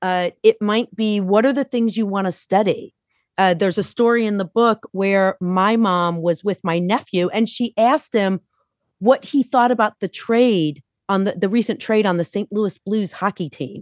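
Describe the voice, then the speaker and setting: Moderately paced speech from a woman, a plain, everyday voice at medium pitch with ordinary pitch variation. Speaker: author. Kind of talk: casual chat.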